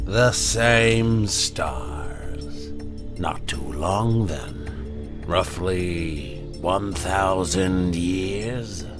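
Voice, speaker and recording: Over loud background music, a man does a put-on character voice, pitched very deep and low and delivered at a very slow pace. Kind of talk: horror narration. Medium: read story. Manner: slow, confident, menacing.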